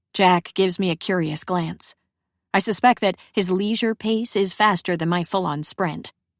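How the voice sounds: The quiet setting lets a natural reading voice show ordinary pitch variation.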